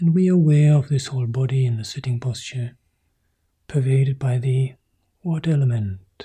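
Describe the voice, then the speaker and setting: Somewhat breathy, with a dark, mellow tone, a man of medium pitch speaks at a moderate pace with ordinary pitch variation and long, frequent pauses. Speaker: meditation teacher. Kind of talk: guided meditation.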